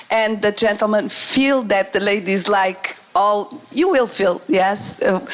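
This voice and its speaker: A woman speaks at medium pitch with a non-native accent. Noticeable background noise is present. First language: not English. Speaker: dancer. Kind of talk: panel discussion. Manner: halting.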